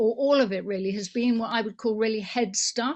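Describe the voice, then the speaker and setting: An English accent, somewhat breathy, with ordinary pitch variation against a quiet background. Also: woman. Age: 70s. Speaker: political activist. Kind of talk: conference motion speech.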